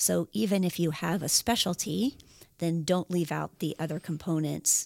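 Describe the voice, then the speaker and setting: Her voice fairly low for a woman with vocal fry and ordinary pitch variation, a woman speaks at a moderate pace in a dry, close sound with no echo, the recording very clean with a silent background. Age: 40s. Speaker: exercise scientist, podcast co-host. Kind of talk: casual educational chat.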